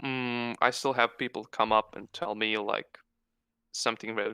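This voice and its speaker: A man with a strong Croatian accent talks fairly slowly in a bright, sharp tone, on a very clean recording with a silent background. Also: dry, close sound with no echo. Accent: thick Croatian. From Croatia (Osijek). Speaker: web comic artist and stand-up comedian. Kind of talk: casual interview chat. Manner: halting, many fillers.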